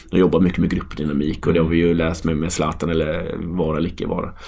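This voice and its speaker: A man speaks with a very deep, low pitch and fairly even intonation. Noticeable background noise and audible room echo fill the recording. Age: 30s. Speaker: football coach. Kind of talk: casual chat.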